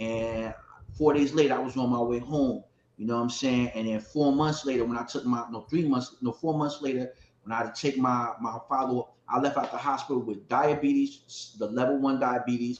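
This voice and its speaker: Noticeable background noise sits behind this man's voice. He speaks at a medium pitch and a fairly quick pace. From Ohio. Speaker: hip hop artist and panelist. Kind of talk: panel discussion, personal testimony. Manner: animated; halting, repetitive.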